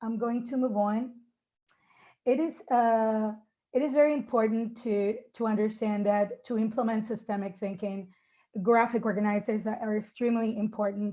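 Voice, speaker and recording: A woman's somewhat breathy, dark and mellow voice, fairly high in pitch, with fairly even intonation at a moderate pace against a quiet background. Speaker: English teacher. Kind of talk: conference presentation.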